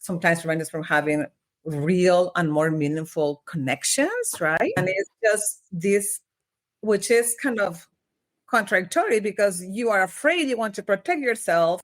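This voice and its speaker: With a slight Mexican accent, the speaker moves at a moderate pace with lively intonation. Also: woman, medium pitch for a woman. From Mexico (Monterrey). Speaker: organizational development consultant. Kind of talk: podcast interview.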